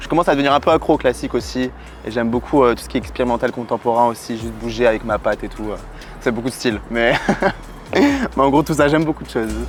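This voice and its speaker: The delivery is very fast. Noticeable background noise runs underneath. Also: man. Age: 20s. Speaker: professional dancer and model. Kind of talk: interview answers, casual. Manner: casual, hesitant with fillers.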